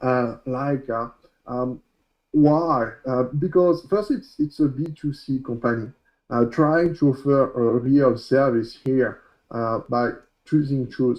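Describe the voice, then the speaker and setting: Speaking very slowly with a French accent, a man keeps a medium pitch with ordinary pitch variation. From France. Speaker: coding instructor. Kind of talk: tutorial. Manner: loud; halting.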